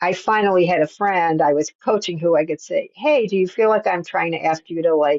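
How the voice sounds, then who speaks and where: This woman talks at a fairly quick pace with hardly any pauses, her fairly low pitch showing ordinary variation in a plain, everyday voice. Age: 60s. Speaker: author and skating coach. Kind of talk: casual chat.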